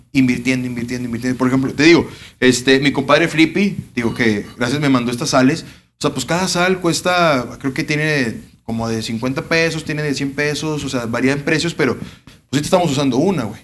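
A man at a fairly high pitch and fairly quick pace, with ordinary pitch variation. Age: 20s. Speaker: grilling YouTuber. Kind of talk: casual chat.

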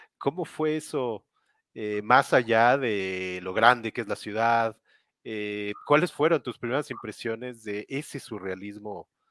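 On a very clean recording with a silent background and a dry, close sound with no echo, a man of medium pitch talks at a very slow pace with ordinary pitch variation. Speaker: interview show host. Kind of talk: interview. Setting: live video stream.

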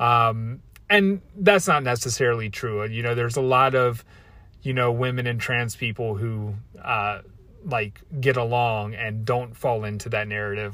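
Speaking at a fairly slow pace with a Baltimore accent, a man uses a medium pitch and ordinary pitch variation. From US, Baltimore. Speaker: podcast host and coach. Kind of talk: solo rant. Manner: casual, hesitant with many fillers.

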